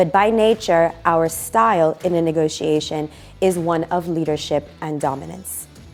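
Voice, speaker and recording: A woman's fairly low voice with a New York accent at a moderate pace, music in the background. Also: ordinary pitch variation. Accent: New York American English. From Brooklyn, New York. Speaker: negotiation trainer. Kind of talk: expert talk to camera.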